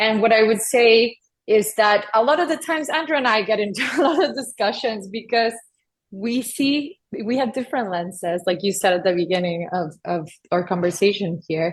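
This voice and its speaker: Speaking in a Spanish accent, a woman uses a fairly high pitch, lively intonation and a moderate pace. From US-Mexico border, Texas. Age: 30s. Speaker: addiction psychiatrist. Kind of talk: podcast interview.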